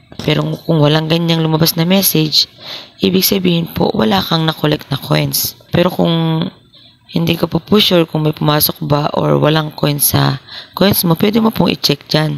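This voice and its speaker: A soft-spoken woman with a very deep, low pitch talks at a moderate pace with ordinary pitch variation. Her loudness is very even, and there is noticeable background noise. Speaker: vlogger. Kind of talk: tutorial.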